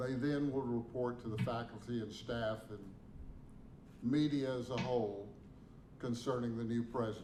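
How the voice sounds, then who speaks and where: A man's medium-pitched, dark, mellow voice in a monotone, flat delivery with long, frequent pauses and audible room echo. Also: moderate pace. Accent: Southern US. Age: 70s. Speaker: interim university president. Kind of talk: press conference statement.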